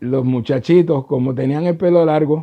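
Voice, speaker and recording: A man speaks with a Puerto Rican accent and ordinary pitch variation. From Puerto Rico. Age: 70s. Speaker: trombonist. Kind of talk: interview answer.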